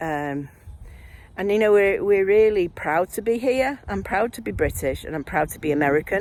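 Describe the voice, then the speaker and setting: A woman with a Mancunian accent talks at a moderate pace, her medium pitch carried by lively intonation. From Manchester, northern England. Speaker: vlogger, former nurse and midwife. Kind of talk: casual video diary monologue. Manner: animated.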